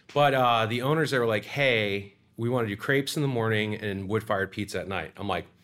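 A man with an American accent and a normal speaking voice talks at a fairly quick pace and fairly low pitch with ordinary pitch variation, in a very clean recording with a silent background. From Florida (Sarasota). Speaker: pizza restaurant owner and chef. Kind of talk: casual interview.

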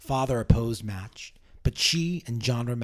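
This is someone speaking. They are reading aloud in a natural voice.

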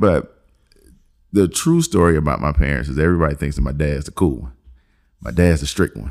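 A man speaks at a fairly quick pace with a very deep, low pitch. Vocal fry runs through his voice. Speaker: podcast host. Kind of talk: casual chat, joking banter.

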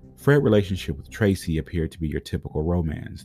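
Music plays behind a man whose pitch is very deep and low. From Pontiac, Michigan. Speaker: true crime podcast host. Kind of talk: scripted narration.

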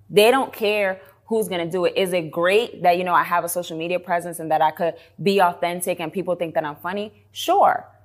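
A woman with an American accent has an ordinary speaking voice and a fairly low pitch, talking at a fairly quick pace with fairly even intonation. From New York City, South Bronx. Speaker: entrepreneur. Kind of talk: casual interview.

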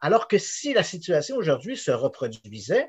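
A man speaks at a moderate pace, his somewhat breathy voice moving in very wide pitch swings. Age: 50s. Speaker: investigative journalist. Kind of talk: interview.

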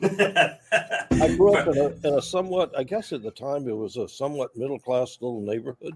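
Swinging very widely in pitch, a man with an American accent speaks in a fairly high register. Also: hardly any pauses. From US South, Charleston, South Carolina. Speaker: interview guest. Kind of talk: interview.

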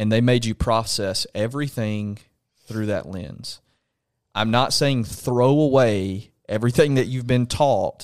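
With a Southern US accent, a man speaks at a fairly slow pace and with ordinary pitch variation. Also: medium pitch for a man, very clean recording, silent background. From Alabama. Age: 20s. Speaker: pastor. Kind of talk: casual chat. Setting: home studio.

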